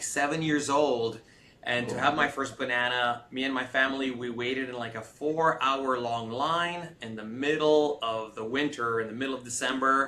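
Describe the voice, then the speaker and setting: A man in a Californian accent, fairly even intonation, with noticeable background noise. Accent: Californian American English. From US West Coast, Los Angeles (came from Romania at nine). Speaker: tech startup CEO. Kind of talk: interview.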